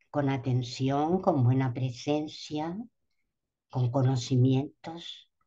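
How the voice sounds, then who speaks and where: A woman talks at a very slow pace in a very deep, low voice with a dark, mellow tone. Her pitch varies in an ordinary way, and the room echo is audible. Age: 70s. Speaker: doula and speaker at a symposium. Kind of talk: conference talk. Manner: hesitant, with fillers.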